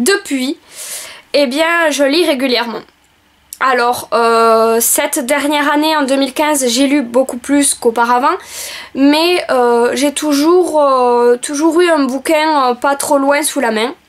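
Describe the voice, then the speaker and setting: Very slowly and at a very even loudness, a woman with a southern French accent speaks in a high voice with ordinary pitch variation. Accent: southern French (Roussillon), noticeable. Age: 20s. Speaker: book vlogger and school assistant. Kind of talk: video self-presentation. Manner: hesitant, many filler sounds.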